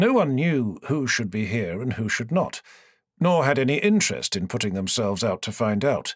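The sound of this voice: Against a quiet background, lively intonation runs through an unforced reading voice.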